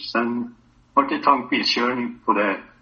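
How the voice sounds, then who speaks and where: A man speaks at a moderate pace. Music can be heard behind him. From Hälsingland, northern Sweden. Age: 80s+. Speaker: veteran cross-country skier. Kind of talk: casual interview. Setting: phone call.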